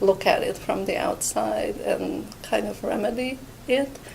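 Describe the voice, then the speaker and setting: A woman with a non-native accent speaks at a fairly slow pace over noticeable background noise. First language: Hungarian. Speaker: art history professor. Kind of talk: interview monologue. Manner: hesitant with fillers.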